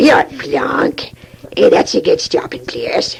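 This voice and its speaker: This is a put-on character voice with a raspy sound. The delivery is fairly slow. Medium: comedy sketch. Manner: enthusiastic, gushing.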